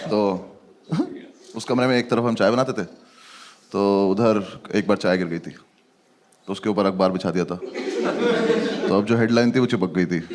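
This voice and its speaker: A man with a fairly low pitch speaks at a moderate pace with ordinary pitch variation. He takes long, frequent pauses over noticeable background noise. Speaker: stand-up comedian. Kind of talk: stand-up comedy storytelling.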